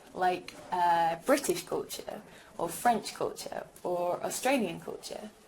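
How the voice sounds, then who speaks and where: Speech at a fairly slow pace carries audible room echo and noticeable background noise. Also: woman. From England, Birmingham. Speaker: language teacher. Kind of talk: recorded lecture.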